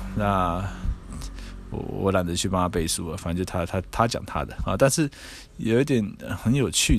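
A man is speaking. His intonation is lively. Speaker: podcast host and harm-reduction advocate. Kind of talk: solo podcast commentary.

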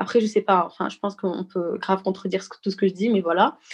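A woman's fairly even intonation sits against a quiet background. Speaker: student. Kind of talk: panel discussion.

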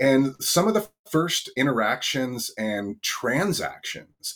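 A man with a Californian accent speaks at a medium pitch with vocal fry. His pitch swings very widely. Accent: Californian American. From Northern California, US. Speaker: bitcoin education card entrepreneur. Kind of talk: interview.

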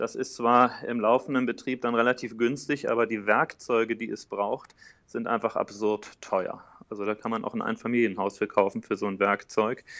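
Speaking in an ordinary speaking voice, a man keeps a moderate pace, medium pitch, and fairly even intonation. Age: 30s. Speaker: entrepreneur. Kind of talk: interview.

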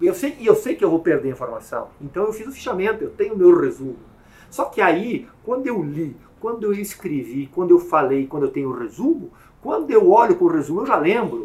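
A man talks at a fairly quick pace. His voice is high for a man and has very wide pitch swings. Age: 50s. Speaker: police chief. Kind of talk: interview.

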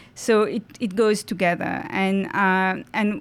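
Here a woman speaks at a medium pitch. Her intonation is fairly even. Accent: Mauritian. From Mauritius. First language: French. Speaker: university French teacher. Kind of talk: casual interview. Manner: hesitant, many fillers.

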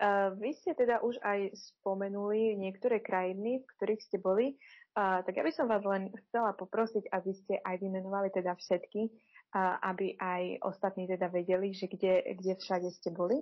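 A woman's medium-pitched voice with fairly even intonation, a moderate pace and hardly any pauses. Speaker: schoolteacher. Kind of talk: interview. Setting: remote call.

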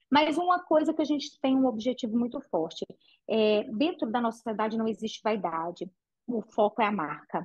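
Somewhat breathy, a woman with a fairly high pitch speaks with very wide pitch swings. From Brazil, interior of Minas Gerais (Patrocínio). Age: 40s. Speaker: entrepreneur, franchise founder. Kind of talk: interview.

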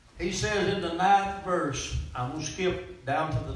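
A man with a Mississippi accent speaks at a fairly slow pace with ordinary pitch variation. Audible room echo and noticeable background noise fill the recording. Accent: Mississippi Southern. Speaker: preacher. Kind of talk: sermon. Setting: church. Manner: animated.

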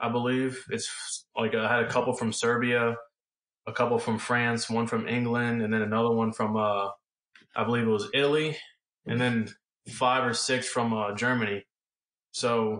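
A man with a normal speaking voice, medium pitch, fairly even intonation and an American accent. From US South. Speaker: football quarterback. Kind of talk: interview.

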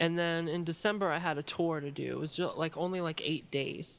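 A woman with an American accent and an ordinary speaking voice, fairly low in pitch, at a moderate pace with fairly even intonation. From Maryland, US. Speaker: electronic musician and producer. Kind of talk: interview. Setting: video call.

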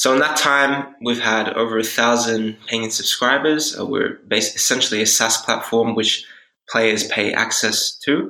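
Speaking at a fairly slow pace with an Australian accent, a man uses a medium pitch, a bright, sharp tone and fairly even intonation. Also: very even loudness. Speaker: startup founder. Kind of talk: interview.

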